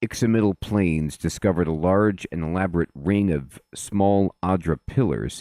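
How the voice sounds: It is a natural reading voice against a quiet background.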